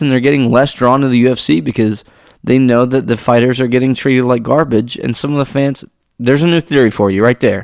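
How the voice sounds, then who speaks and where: At a moderate pace and medium pitch, a man talks in a plain, everyday voice on a very clean recording with a silent background. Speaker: MMA podcast host. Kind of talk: casual podcast commentary.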